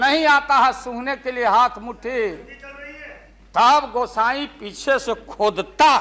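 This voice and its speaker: With noticeable noise behind him, a man uses a raised, projected voice at an extremely high pitch, keeping his intonation fairly even. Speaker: politician. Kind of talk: parliament speech. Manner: humorous, storytelling.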